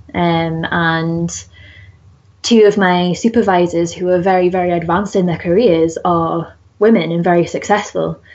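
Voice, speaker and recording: A woman speaks with a Geordie accent at a fairly low pitch. Her pace is moderate, and her intonation is fairly even. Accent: northern English, Geordie. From northern England. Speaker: zoologist and conservation researcher. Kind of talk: casual interview.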